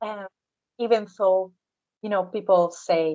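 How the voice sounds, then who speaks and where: A woman's medium-pitched voice in an Italian accent, with fairly even intonation. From Southern Italy. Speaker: interviewee. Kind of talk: interview conversation. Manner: halting.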